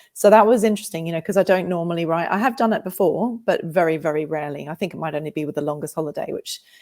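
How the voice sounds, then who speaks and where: Very fast speech with ordinary pitch variation comes in a slight Australian accent. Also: woman, fairly low pitch for a woman. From Australia, England and America. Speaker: novelist. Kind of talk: interview. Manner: animated, emotional.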